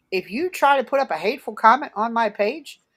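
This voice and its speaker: In an American accent, a woman talks at a moderate pace with an animated tone. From Philadelphia area, US. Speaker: Santa performer and online group founder. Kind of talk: podcast interview. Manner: halting.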